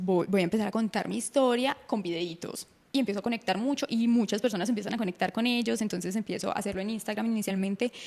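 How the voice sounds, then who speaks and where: A woman's fairly high voice, a normal speaking voice, fairly quick in pace with ordinary pitch variation. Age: 20s. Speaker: breast cancer survivor and content creator. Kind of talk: interview.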